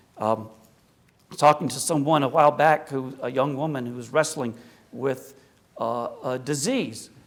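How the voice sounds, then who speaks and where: A man speaks at a moderate pace with a slight Appalachian accent. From US South, South Carolina and Appalachia. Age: 60s. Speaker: Orthodox priest, guest speaker. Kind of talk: public lecture. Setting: church hall with audience. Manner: conversational.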